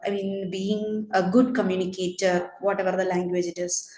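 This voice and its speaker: A woman's medium-pitched, flat monotone voice at a moderate pace, with audible room echo and noticeable background noise. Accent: Keralan. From India, Kerala. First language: Malayalam. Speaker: teacher. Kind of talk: casual chat.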